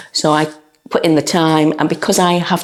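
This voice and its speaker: A very deep, low-pitched woman's voice at a moderate pace. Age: 60s. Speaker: dog trainer, gym client giving a testimonial. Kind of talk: testimonial interview. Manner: hesitant, with frequent fillers and repetitions.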